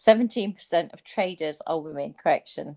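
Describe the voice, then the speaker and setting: On a very clean recording with a silent background, a woman with an English accent and fairly low pitch speaks at a moderate pace, the sound dry and close with no echo. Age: 60s. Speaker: former stock trader. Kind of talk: casual chat. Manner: animated.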